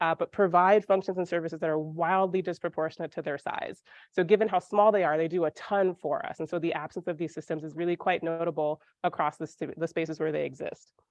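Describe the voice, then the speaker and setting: Recorded with a dry, close sound, no echo and a quiet background, a woman speaks very fast at a fairly low pitch. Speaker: scientist giving a seminar talk. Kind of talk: lecture. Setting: seminar room with audience. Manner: casual, filler-heavy delivery.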